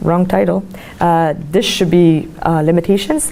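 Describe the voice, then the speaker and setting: A woman in a Quebec accent with fairly even intonation, over noticeable background noise. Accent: Québécois French accent in English. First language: French. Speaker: graduate student presenting research. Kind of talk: academic presentation.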